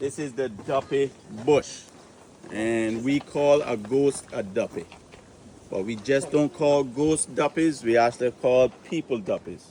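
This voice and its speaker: A man with a Caymanian accent speaks at a fairly high pitch with ordinary pitch variation over noticeable background noise. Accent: Caymanian Caribbean English. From Cayman Islands. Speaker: tour guide. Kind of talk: guided tour talk. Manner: toning down accent to be understood; animated.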